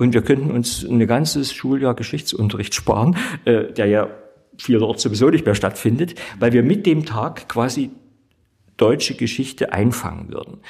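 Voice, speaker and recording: Talking goes at a moderate tempo. There is a somewhat breathy quality to the voice. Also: man, medium pitch for a man, ordinary pitch variation. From East Germany. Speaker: theologian and state politician. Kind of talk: debate discussion.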